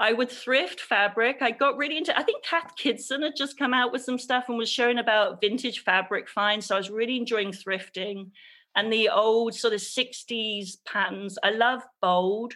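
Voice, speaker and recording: A woman with an English accent, fairly high in pitch with ordinary pitch variation and a bright, sharp tone, at a moderate pace with hardly any pauses, on a very clean recording with a silent background. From England. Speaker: textile artist and creative coach. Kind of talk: interview.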